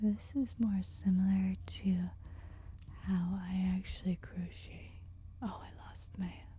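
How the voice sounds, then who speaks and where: Very slow and somewhat breathy, a woman's very deep, low voice carries a dark, mellow tone with monotone, flat intonation and big swings in loudness. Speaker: crochet instructor. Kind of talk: ASMR crochet tutorial. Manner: slow, gently spoken.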